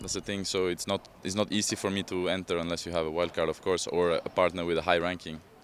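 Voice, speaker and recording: A man's very deep, low voice, monotone and flat, at a very fast pace with hardly any pauses. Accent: Norwegian. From Norway, Oslo. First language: Norwegian. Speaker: padel player, former tennis pro. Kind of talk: interview. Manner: conversational, with hesitations and repetitions.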